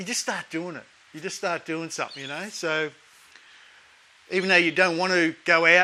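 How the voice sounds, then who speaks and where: A man's high-pitched voice, bright and sharp in tone yet relaxed. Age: 50s. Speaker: fitness vlogger. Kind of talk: casual talk to camera. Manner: relaxed, conversational.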